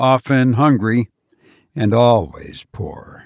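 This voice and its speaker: A man's medium-pitched voice at a very slow pace, relaxed in tone, with ordinary pitch variation. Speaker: podcast host and narrator. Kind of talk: horror story narration, read aloud in a hushed, measured storyteller's voice; casual chat with listeners. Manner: slow, deliberate, suspenseful narration; relaxed, conversational, self-deprecating.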